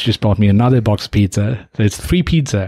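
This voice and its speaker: This man's voice is medium in pitch and somewhat breathy. He talks at a fairly quick pace with ordinary pitch variation. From Nepal. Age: 30s. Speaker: podcast host. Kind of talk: casual chat.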